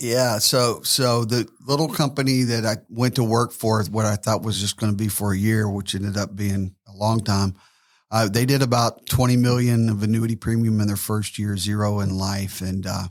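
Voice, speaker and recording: Speaking at a moderate pace with fairly even intonation, a man with an American accent and fairly low pitch is heard on a very clean recording with a silent background. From US South, Tennessee. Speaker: financial services entrepreneur. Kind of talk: podcast interview. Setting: studio.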